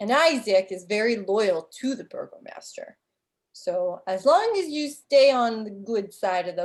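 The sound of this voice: Against a quiet background, the reading comes in an unforced reading voice.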